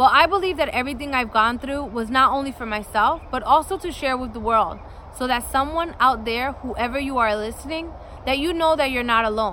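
A raised, projected voice with a bright, sharp tone moves at a fairly quick pace. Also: woman, high pitch for a woman, ordinary pitch variation. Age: 30s. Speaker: podcast host and lifestyle vlogger. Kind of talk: scripted introduction monologue.

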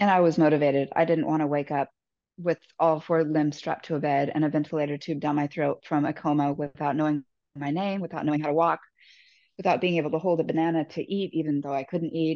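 Very deep and low in pitch, a woman talks at a very fast pace with monotone, flat intonation. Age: 40s. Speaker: recovering alcoholic sharing her story. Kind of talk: interview testimony.

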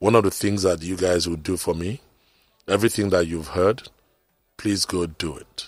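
A man with a Nigerian accent speaks in a very deep, low voice with ordinary pitch variation. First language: Nigerian language. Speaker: radio talk show host. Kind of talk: motivational radio talk. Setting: radio studio.

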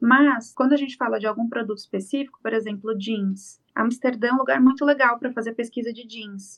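This woman has an ordinary speaking voice with a fairly high pitch and fairly even intonation. She talks at a fairly quick pace. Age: 20s. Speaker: fashion designer. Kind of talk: casual interview.

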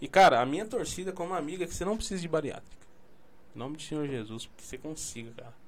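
Audible room echo carries a very fast delivery with lively intonation and big swings in loudness. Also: man, fairly high pitch for a man. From Brazil, São Paulo. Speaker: podcast host. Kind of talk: casual chat.

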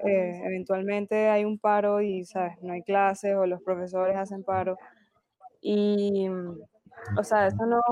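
A woman speaks at a fairly slow pace, her medium-pitched voice held in a flat monotone. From Venezuela. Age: 20s. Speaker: film student. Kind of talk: casual chat.

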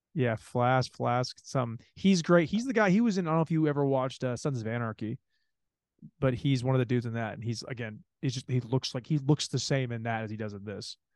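Speaking at a fairly quick pace, a man with an unremarkable speaking voice keeps a medium pitch and ordinary pitch variation, the sound dry and close with no echo. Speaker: podcast host. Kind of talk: casual chat. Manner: casual, rambling, profane.

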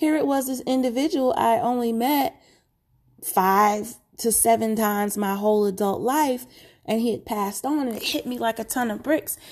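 In a very clean recording with a silent background, a woman uses a normal speaking voice, fairly high in pitch, with ordinary pitch variation at a moderate pace. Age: 40s. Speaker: mental health podcast host. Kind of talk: personal monologue.

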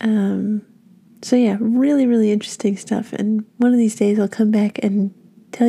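The voice is dark, mellow and somewhat breathy. It moves at a moderate pace in a flat monotone. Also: woman. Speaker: college radio DJ. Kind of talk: radio DJ patter between songs. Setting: radio studio, college station. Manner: casual with filler words.

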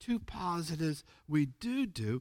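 With a Pennsylvania accent, a man speaks in a fairly high pitch. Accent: American, Pennsylvania. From US East Coast, Pennsylvania. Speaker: youth ministry preacher. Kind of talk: sermon.

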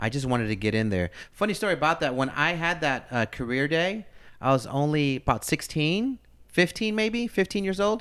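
A man's fairly high voice with an American accent, very wide pitch swings and a moderate pace, on a very clean recording with a silent background. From US, Philadelphia and East Los Angeles. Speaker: radio host. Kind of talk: casual interview.

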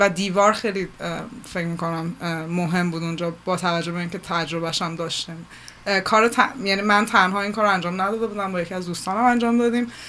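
Over noticeable background noise, a woman talks at a very fast pace with a medium pitch and fairly even intonation. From Iran. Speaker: multimedia artist and curator. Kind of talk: radio interview. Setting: studio.

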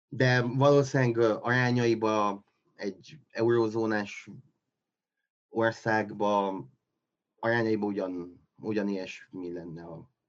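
A man speaks very slowly with long, frequent pauses. His pitch is fairly low, and his loudness swings widely. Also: ordinary pitch variation. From Transylvania, Romania (Csíkszereda). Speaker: scientific assistant editor. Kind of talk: casual interview. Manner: halting, many fillers and repetitions.

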